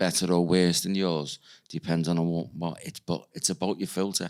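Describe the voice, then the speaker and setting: On a very clean recording with a silent background, a man with a very deep, low pitch speaks in a monotone, flat way with a Liverpool accent. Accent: Scouse (Liverpool). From Liverpool, England. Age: 60s. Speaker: psychic medium. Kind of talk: podcast interview.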